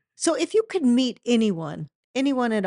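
Against a quiet background, a plain, everyday voice speaks at a moderate pace with lively intonation. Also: woman, dry, close sound with no echo. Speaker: podcast host and company employee. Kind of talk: casual interview chat.

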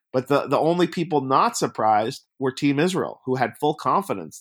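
This man has a normal speaking voice at a medium pitch. His pitch varies in an ordinary way, and his pace is moderate. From US Northeast, Long Island, New York. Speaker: documentary filmmaker. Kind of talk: casual interview.

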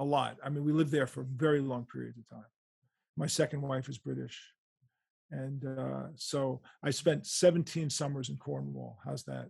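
A man with a New York accent, at a moderate pace. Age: 60s. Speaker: rock guitarist and author. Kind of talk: interview. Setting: remote call from home bedroom.

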